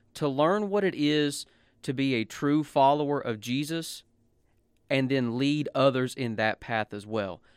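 In a very clean recording with a silent background, a man uses an ordinary speaking voice, fairly high in pitch with ordinary pitch variation, and the sound is dry and close with no echo. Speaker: podcast co-host and preacher. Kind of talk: casual chat.

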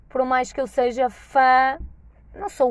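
Speaking with a northern Portuguese accent, a woman has a high, animated voice. Her pace is fairly slow, and the background is quiet. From northern Portugal. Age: 20s. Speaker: podcaster. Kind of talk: casual monologue. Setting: in a car.

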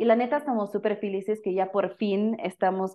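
A woman speaks with a German accent at a medium pitch. Her pace is moderate and her intonation monotone and flat. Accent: German speaker with Mexican-flavored Spanish. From Germany. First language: German (speaking Spanish). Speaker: social entrepreneur, company founder. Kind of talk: casual interview chat.

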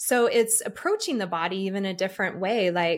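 In a normal speaking voice, a woman with an American accent speaks at medium pitch with ordinary pitch variation. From Utah, Salt Lake City. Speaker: shamanic energy healer. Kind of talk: interview conversation.

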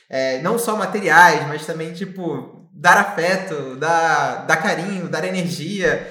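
A man speaks at a high pitch with ordinary pitch variation. Audible room echo and noticeable background noise surround him. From Brazil, Rio de Janeiro. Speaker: startup founder and CEO. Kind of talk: podcast interview.

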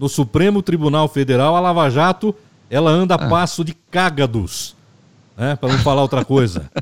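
An ordinary speaking voice from a man, fairly high in pitch, with lively intonation, a moderate pace and a dry, close sound without echo. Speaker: podcast host. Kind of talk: casual political discussion.

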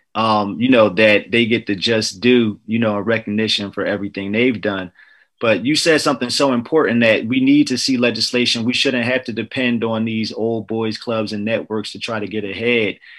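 A man talks in a normal speaking voice at medium pitch, with fairly even intonation and a moderate pace. He leaves hardly any pauses against a quiet background. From New Jersey. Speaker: podcast host. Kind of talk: casual interview.

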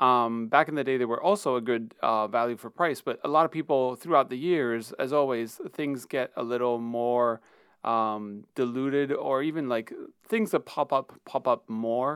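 In a normal speaking voice, a man speaks at a moderate pace with medium pitch and ordinary pitch variation, the sound dry and close with no echo. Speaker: film photography podcaster. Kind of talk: solo podcast, casual monologue. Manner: casual, chatty, with fillers.

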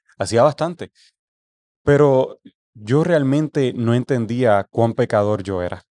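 A man's medium-pitched voice, dark and mellow, with ordinary pitch variation, very slow delivery broken by long, frequent pauses, and a dry, close sound with no echo. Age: 20s. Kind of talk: casual chat.

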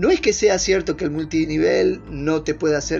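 A man's voice over noticeable background noise. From northern Argentina (Orán, Salta, Bolivian border). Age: 40s. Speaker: life coach. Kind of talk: motivational talk. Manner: animated.

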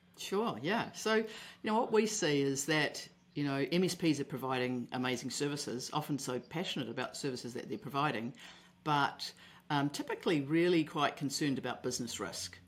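A woman's very deep, low voice with a New Zealand accent, lively intonation and a fairly quick pace, on a very clean recording with a silent background. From New Zealand, Auckland. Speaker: contracts expert for IT service providers. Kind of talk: podcast interview.

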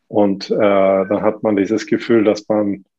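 A man with a fairly low pitch, monotone, flat intonation and a very slow pace. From Sweden. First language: Swedish (speaking German). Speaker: fitness coach and gym owner. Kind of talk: casual chat. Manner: halting, many fillers.

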